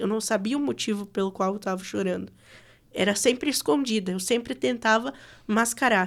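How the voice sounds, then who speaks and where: Over a very clean recording with a silent background, a woman speaks in a plain, everyday voice. Her medium pitch moves with lively intonation at a moderate pace. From West of Santa Catarina, Brazil. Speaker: radio announcer. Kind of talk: podcast interview answer.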